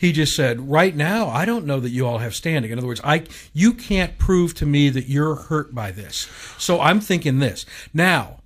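A man speaks at a moderate pace in a fairly high, somewhat breathy voice with lively intonation. The background is quiet. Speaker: bishop, show co-host. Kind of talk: casual talk radio discussion. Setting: radio studio. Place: studio.

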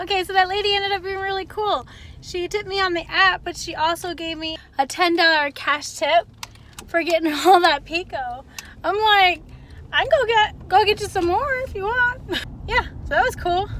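Extremely high in pitch with ordinary variation, a woman speaks at a moderate pace in a dry sound with no echo over light background noise. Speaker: delivery driver vlogger. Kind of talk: casual vlog chat. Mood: upbeat, chatty. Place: car. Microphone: phone near.

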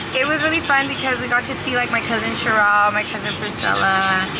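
A woman talks at a very fast pace over loud background noise. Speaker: family vlogger. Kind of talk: casual vlog chat. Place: car. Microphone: phone near.

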